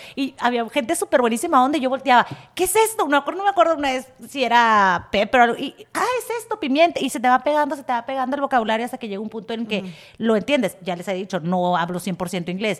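A woman talks very fast at a high pitch, with very wide pitch swings. Her loudness rises and falls sharply. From Tijuana, Mexico. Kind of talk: casual chat.

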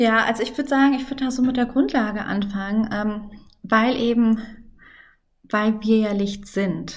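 Somewhat breathy and fairly high-pitched, a woman speaks with fairly even intonation and long, frequent pauses, with audible room echo. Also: moderate pace. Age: 30s. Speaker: mother and Instagram content creator. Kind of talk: casual interview.

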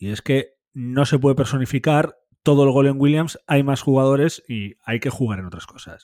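Showing big swings in loudness, a man with a fairly high pitch and dark, mellow tone speaks at a moderate pace with ordinary pitch variation. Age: 30s. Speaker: football podcast host. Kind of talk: casual football discussion.

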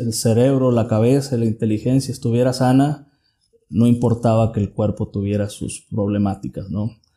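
Somewhat breathy and dark, mellow in tone, a man of medium pitch speaks at a moderate pace. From Mexico, southern Jalisco (Tuxpan). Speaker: mechanical engineer and business owner. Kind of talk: interview.

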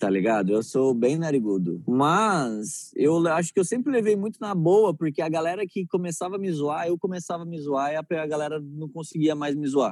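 A man's fairly high voice with very wide pitch swings at a moderate pace, in a very clean recording with a silent background. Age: 20s. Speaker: comedian. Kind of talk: casual chat.

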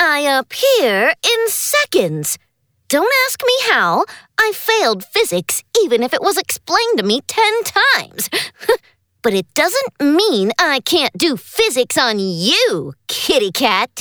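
In a cartoonish character voice, the high-pitched speaker goes at a fairly slow pace. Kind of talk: comic overacting. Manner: bossy, sarcastic, impatient.

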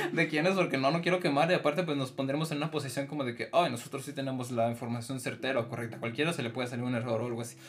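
With music in the background, a man with a Mexican accent speaks at a medium pitch with ordinary pitch variation. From Mexico. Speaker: podcast host. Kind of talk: casual chat.

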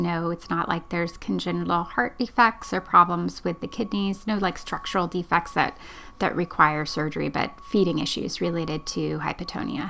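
A woman with a fairly low pitch, vocal fry and a bright, sharp tone talks at a moderate pace with hardly any pauses. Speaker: podcast host, genetic counselor. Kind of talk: interview.

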